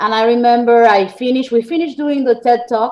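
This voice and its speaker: A woman talks with an Argentine accent. The background is quiet. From Argentina. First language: Spanish. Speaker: journalist and author. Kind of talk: interview.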